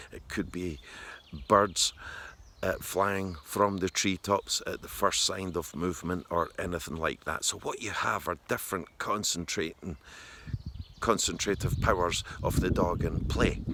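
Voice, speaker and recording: A man's very deep, low voice with a Scottish accent, bright, sharp in tone, fairly even in intonation, at a fairly slow pace. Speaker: dog trainer. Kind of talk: tutorial. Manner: soft-spoken; halting.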